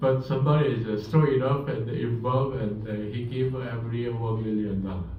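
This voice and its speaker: A man at a fairly quick pace with fairly even intonation, plus noticeable background noise and audible room echo. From Korea. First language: Korean. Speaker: professor. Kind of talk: lecture.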